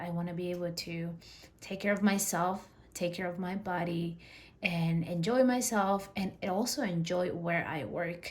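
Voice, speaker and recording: In a Spanish accent, a woman talks at a moderate pace with a fairly low pitch and fairly even intonation, and the room echo is audible. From Peru. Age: 30s. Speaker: personal finance vlogger. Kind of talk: personal vlog monologue. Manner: casual, with fillers.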